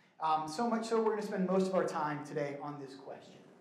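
A man speaks with lively intonation amid audible room echo. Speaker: church minister teaching a class. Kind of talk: lecture. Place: hall.

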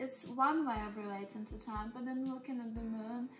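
Over clear background music, a soft-spoken voice talks in a calm tone with flat, monotone intonation. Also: woman. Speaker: spiritual energy healer and hypnotherapist. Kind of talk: casual soft-spoken ASMR dialogue about time and femininity. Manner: soft-spoken, calm. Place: home room. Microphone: phone near.

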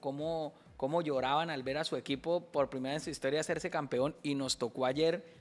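An ordinary speaking voice from a man, at a moderate pace with fairly even intonation. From Colombia, Bucaramanga; Colombia. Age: 40s. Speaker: comedian. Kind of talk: casual chat. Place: studio. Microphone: studio mic.

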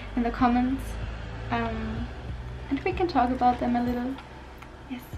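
A woman's high-pitched voice against noticeable background noise. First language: not English. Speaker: vlogger. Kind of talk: casual talk to camera. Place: home room. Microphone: phone near.

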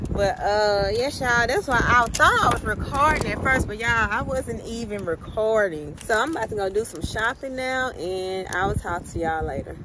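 A woman's fairly high voice at a moderate pace with hardly any pauses, dry and echo-free, over noticeable background noise. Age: 30s. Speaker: lifestyle vlogger. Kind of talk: casual vlog talk to camera. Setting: handheld vlog camera, at home and out. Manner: animated.

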